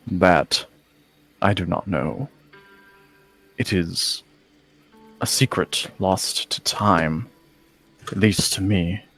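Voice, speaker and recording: A man puts on a character voice, very deep and low, at a very slow pace. He leaves long, frequent pauses, with faint music in the background. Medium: actual play. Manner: formal, solemn.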